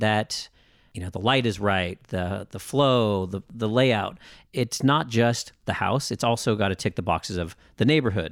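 At a fairly slow pace and with lively intonation, a man speaks in a normal speaking voice, the recording very clean with a silent background and a dry, close sound with no echo. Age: 30s. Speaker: real estate agent. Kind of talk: casual chat. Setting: studio.

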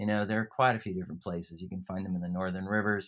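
A man speaks in a Californian accent at a fairly low pitch. The recording is very clean with a silent background. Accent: Californian, retained. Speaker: environmental charity CEO. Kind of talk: interview. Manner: hesitant, many fillers.

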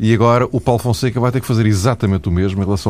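Dark and mellow in tone, a man's voice carries lively intonation. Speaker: radio host. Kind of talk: casual chat.

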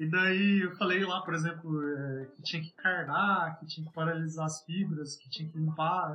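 With an ordinary speaking voice, a man at fairly high pitch keeps a moderate pace and fairly even intonation. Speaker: textile engineer. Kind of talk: interview.

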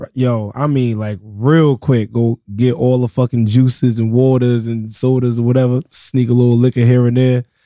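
A man with an American accent speaks at a moderate pace in a flat monotone, with hardly any pauses. His medium-pitched voice has a dark, mellow tone, recorded dry and close with no echo. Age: 30s. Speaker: DJ. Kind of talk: casual chat.

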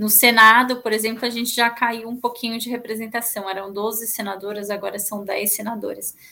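A woman talks at a fairly quick pace with hardly any pauses, in a fairly high pitch. Her tone is bright and sharp, and her intonation is monotone and flat. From São Paulo, Brazil (East Zone). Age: 30s. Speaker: public policy manager. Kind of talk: interview.

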